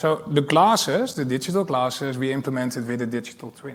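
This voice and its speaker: A man with a Dutch accent speaks at a very fast pace. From Netherlands. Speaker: airport executive. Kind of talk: panel discussion.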